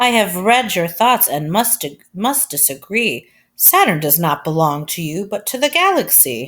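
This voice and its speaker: A female-sounding voice at a middle pitch performs a put-on character voice with very wide pitch swings, on a very clean recording with a silent background. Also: moderate pace. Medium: read story.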